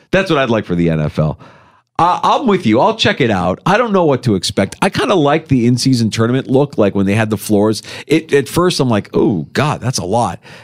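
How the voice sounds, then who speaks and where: A man's animated voice at a fairly quick pace, with very wide pitch swings and very even loudness. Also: medium pitch for a man. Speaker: radio sports host. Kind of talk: radio DJ patter, sports talk show banter. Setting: radio studio. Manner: animated, punchy, opinionated.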